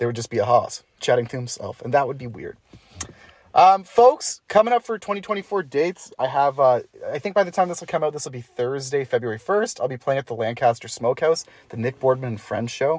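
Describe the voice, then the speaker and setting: The speaker has a Canadian accent. The pace is fairly quick. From Ontario, Canada. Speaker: podcast host and musician. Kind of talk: casual chat. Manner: like an auctioneer.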